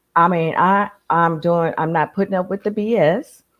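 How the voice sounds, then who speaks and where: A woman with a fairly low pitch talks at a moderate pace, varying her pitch in an ordinary way. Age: 60s. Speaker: reseller, podcast guest. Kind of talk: casual chat. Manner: animated.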